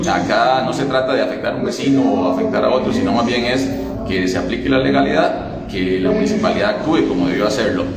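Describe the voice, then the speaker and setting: Over music in the background and audible room echo, a man talks at a very fast pace. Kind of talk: interview answer. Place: hall.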